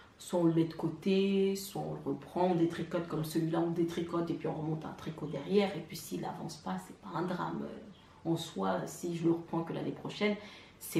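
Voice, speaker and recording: Delivered at a moderate pace with fairly even intonation, this voice swings widely in loudness over noticeable background noise and audible room echo. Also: woman. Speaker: knitting vlogger. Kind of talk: casual vlog monologue. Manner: hesitant, many fillers.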